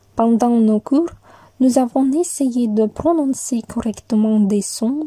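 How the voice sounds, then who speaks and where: In a Russian accent, a woman speaks at a very slow pace with a fairly high pitch, ordinary pitch variation and a dark, mellow, somewhat breathy tone, the sound dry and close with no echo. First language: Russian (speaking French). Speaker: university student. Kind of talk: scripted narration.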